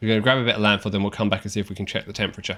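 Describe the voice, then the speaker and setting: Over music in the background, a man with an English accent speaks at a fairly low pitch. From England. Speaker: video game streamer. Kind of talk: live gameplay commentary. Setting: live stream. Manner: casual, conversational.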